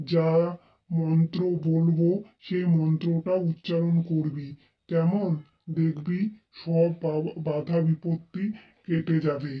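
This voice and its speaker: A cartoonish character voice in a middle pitch, fairly slow in pace, with monotone, flat intonation. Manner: assured, commanding.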